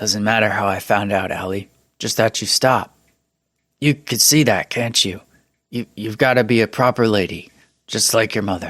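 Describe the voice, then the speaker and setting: On a very clean recording with a silent background, a man puts on a raspy character voice at medium pitch, talking at a moderate pace with fairly even intonation and long, frequent pauses. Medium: read story. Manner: halting, repetitive, emotional.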